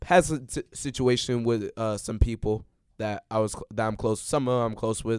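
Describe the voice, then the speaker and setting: In a Chicago accent, a man at medium pitch talks at a moderate pace with fairly even intonation, heard in a dry, close sound with no echo on a very clean recording with a silent background. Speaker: podcast co-host, college student. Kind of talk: casual chat.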